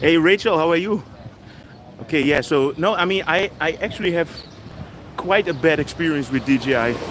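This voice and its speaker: A man's fairly high voice with a Dutch accent, ordinary pitch variation, a moderate pace and long, frequent pauses, over noticeable background noise. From Netherlands. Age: 50s. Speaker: travel vlogger. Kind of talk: live stream walking vlog, casual chat. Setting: outdoors, city street walk.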